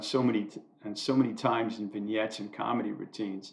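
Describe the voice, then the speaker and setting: An ordinary speaking voice from a man, fairly quick in pace. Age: 60s. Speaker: amateur YouTuber doing commentary monologues. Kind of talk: scripted monologue read from own writing.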